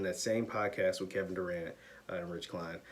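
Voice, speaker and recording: Noticeable background noise surrounds a man who speaks fairly quickly, his intonation lively. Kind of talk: sports commentary to camera. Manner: energetic, opinionated, emphatic.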